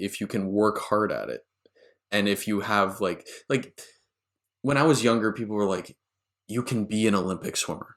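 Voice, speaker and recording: At a moderate pace, this is a plain, everyday voice. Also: man. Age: young. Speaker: podcast host. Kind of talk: interview conversation.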